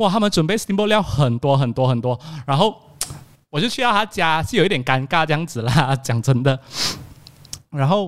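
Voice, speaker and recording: A man speaks in a fairly high pitch with an animated tone and very wide pitch swings. He leaves long, frequent pauses between phrases. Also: moderate pace. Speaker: podcast host. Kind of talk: casual chat. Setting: video call.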